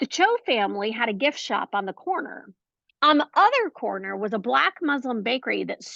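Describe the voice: The speaker reads plainly aloud, with only quiet in the background.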